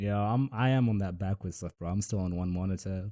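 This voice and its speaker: Over a silent background in a very clean recording, a man with an American accent speaks at a fairly quick pace, his very deep, low voice dark and mellow with fairly even intonation. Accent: fluctuates between American and British. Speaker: podcast host. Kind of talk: casual chat.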